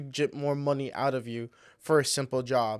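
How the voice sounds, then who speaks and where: This man's fairly high voice keeps a fairly even intonation in a very clean recording with a silent background. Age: 20s. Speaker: podcast technician and guest. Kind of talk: casual interview chat.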